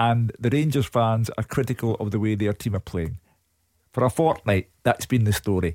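With a slightly mellow tone, a man speaks at a fairly low pitch with ordinary pitch variation. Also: moderate pace.

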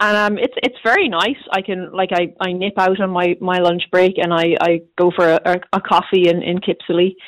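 A woman speaks with a west of Ireland accent. Her intonation is fairly even, with hardly any pauses. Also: medium pitch for a woman, moderate pace. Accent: west of Ireland Irish. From Ireland, Galway. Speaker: careers reporter. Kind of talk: casual interview.

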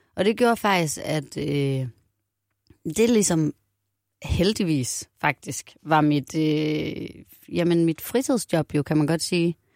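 A woman speaks very slowly with very deep, low pitch, lively intonation and long, frequent pauses. The sound is dry and close with no echo, loudness stays very even, and the recording is very clean with a silent background. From Denmark, Aarhus. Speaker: singer-songwriter. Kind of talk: casual interview chat.

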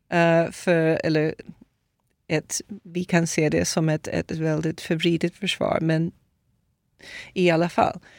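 In a very clean recording with a silent background and a dry, close sound free of echo, a woman with a fairly low voice speaks very slowly. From Brazil. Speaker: author. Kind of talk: testimony. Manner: halting.

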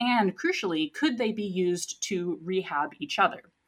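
The speaker's pitch swings very widely in a very clean recording with a silent background. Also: woman. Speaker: scientist, news segment guest. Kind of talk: casual science news discussion.

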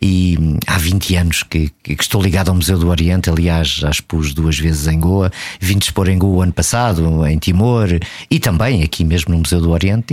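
This man's pitch is very deep and low. He talks at a moderate pace, keeping his intonation fairly even. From Portugal. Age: 50s. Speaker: traveller and photographer. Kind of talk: casual interview. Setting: radio studio.

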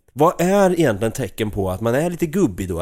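With a strong Östergötland accent, a man speaks in very wide pitch swings on a very clean recording with a silent background. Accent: broad Östergötland dialect. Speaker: podcast host. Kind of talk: casual chat.

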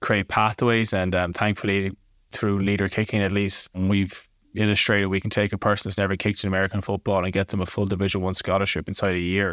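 This man talks at a very fast pace in a fairly low voice, with flat, monotone intonation. The recording is very clean, with a silent background. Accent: Irish. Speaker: kicking coach. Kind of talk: interview.

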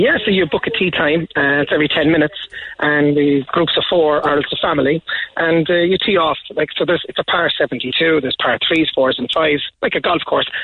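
With a Cork accent, a man speaks at a fairly quick pace and very even loudness over noticeable background noise. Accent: Cork Irish. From Ireland. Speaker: sports venue owner. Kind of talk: radio interview. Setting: phone call.

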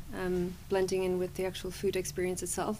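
A woman with a Cork accent, medium in pitch. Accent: Cork Irish. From Cork City, Ireland. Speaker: food tour guide. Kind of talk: casual interview.

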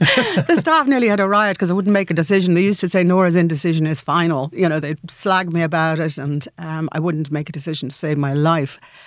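Very fast with hardly any pauses, the speech comes in a Dublin accent with ordinary pitch variation over noticeable background noise. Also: woman, fairly low pitch for a woman. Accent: Irish (Dublin). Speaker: businesswoman and entrepreneur. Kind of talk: radio interview.

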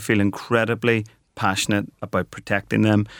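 A man's fairly low voice in a Belfast accent, dry and close with no echo. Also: very clean recording, silent background. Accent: Belfast Northern Irish. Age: 40s. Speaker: company co-founder and managing director. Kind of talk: radio interview.

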